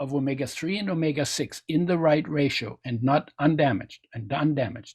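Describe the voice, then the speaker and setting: Speaking at a moderate pace, a man with a fairly high pitch talks in a German accent. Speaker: nutrition expert and oil company founder. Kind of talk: interview.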